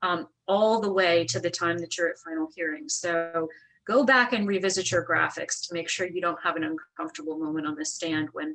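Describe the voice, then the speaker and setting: A woman with a normal speaking voice talks at a fairly low pitch and a fairly quick pace. She uses ordinary pitch variation and leaves hardly any pauses. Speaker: attorney. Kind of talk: webinar presentation.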